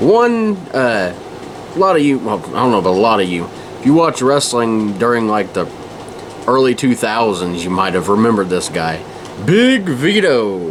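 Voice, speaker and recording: A man talks at a moderate pace and a medium pitch, with very wide pitch swings. Noticeable background noise is present. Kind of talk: rant to camera. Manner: casual, irritated, rambling.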